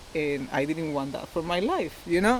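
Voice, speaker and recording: A woman talks at a fairly low pitch while noticeable background noise carries on. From Costa Rica. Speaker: amateur athlete with fibromyalgia. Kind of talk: interview.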